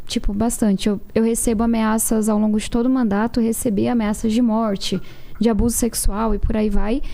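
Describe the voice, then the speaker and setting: A woman speaks at a moderate pace in a fairly high voice. Her intonation is monotone and flat. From São Paulo outskirts, Brazil. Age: 20s. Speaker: politician. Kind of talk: political debate.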